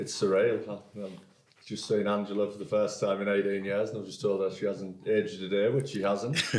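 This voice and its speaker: With a northeast English accent, a man speaks fairly quickly at a fairly low pitch in a monotone, flat intonation, with big swings in loudness and audible room echo. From northeast England, Hartlepool. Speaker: podcast company executive. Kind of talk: interview. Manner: hesitant, many repeated words.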